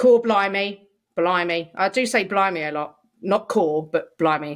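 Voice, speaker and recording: A woman with a London accent speaks at a fairly slow pace. Her medium-pitched voice shows ordinary pitch variation. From London, England. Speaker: podcast co-host. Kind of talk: casual chat. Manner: animated.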